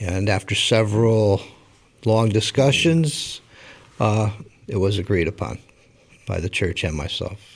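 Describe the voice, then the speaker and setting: A somewhat breathy male voice at a fairly slow pace, broken by long, frequent pauses. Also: fairly low pitch for a man, ordinary pitch variation. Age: 60s. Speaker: pastor. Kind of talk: interview.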